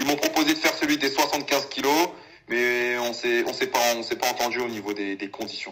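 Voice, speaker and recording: A plain, everyday voice, a man at a medium pitch, fairly quick in pace, with ordinary pitch variation. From Paris suburbs (Val-d'Oise, near Sarcelles). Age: 20s. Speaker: professional kickboxer. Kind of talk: casual interview. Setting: call.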